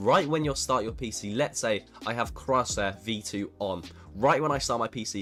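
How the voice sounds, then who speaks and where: With music playing in the background, a man talks in a medium pitch with lively intonation. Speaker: PC gaming tutorial creator. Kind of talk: tutorial. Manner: fast.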